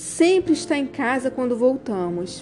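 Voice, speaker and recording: The pace is fairly slow. Pitch swings very widely from high to low. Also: woman. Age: 50s. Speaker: fashion designer and style consultant. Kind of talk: reading aloud.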